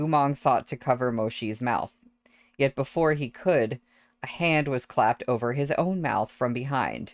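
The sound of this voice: Pitch variation stays ordinary here. The delivery is an unforced reading voice.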